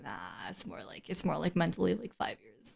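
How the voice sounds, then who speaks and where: Her voice marked by vocal fry, a woman talks at a moderate pace. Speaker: VTuber streamer and singer. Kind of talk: casual live stream chat. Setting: live stream with camera.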